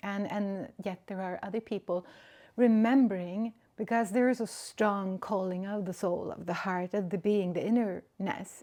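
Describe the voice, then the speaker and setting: A woman with a Swedish accent speaks at medium pitch in a dark, mellow tone, with fairly even intonation at a moderate pace. The recording is very clean, with a silent background. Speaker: spiritual podcaster. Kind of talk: reflective monologue. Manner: halting.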